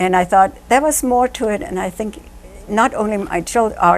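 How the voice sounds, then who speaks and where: Here a woman speaks with a German accent at a medium pitch. Her intonation is lively and her pace fairly quick. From Germany. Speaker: author. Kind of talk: interview.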